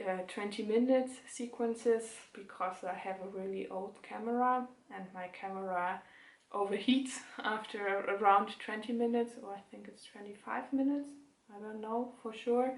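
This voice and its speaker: With a German accent and a fairly high voice, a woman talks at a moderate pace with fairly even intonation and big swings in loudness, amid audible room echo. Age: 20s. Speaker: knitting podcaster. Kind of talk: casual chat. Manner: halting.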